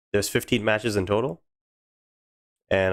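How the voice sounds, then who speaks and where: A man with a Canadian accent, fairly even intonation, and music in the background. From Canada. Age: 20s. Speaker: gaming streamer. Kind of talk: live stream commentary. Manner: casual, chatty.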